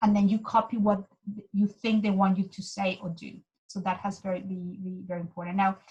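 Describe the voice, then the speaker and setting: A woman with a Mexican accent speaks fairly quickly at a medium pitch, somewhat breathy and monotone, with flat intonation. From Mexico. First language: Spanish. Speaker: intercultural trainer. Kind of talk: webinar presentation.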